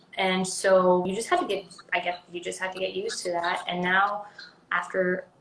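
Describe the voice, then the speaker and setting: There is noticeable background noise as a woman speaks at a medium pitch and moderate pace with monotone, flat intonation. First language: Swedish. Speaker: actress. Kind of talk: interview. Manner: halting.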